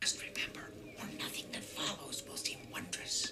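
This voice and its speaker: Someone whispers in a put-on character voice. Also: moderate pace. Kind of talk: storybook narration. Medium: game stream.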